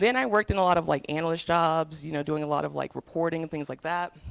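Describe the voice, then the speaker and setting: On a very clean recording with a silent background, a woman with an American accent and a fairly low pitch talks at a very fast pace. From US South. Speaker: tech program manager. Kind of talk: talk to students.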